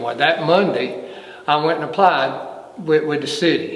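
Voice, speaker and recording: A man with a Southern US accent speaks with ordinary pitch variation amid noticeable background noise and audible room echo. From North Carolina, Brown Summit near Greensboro. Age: 60s. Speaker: retired fire battalion chief. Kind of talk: oral history interview. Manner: halting, with repetitions.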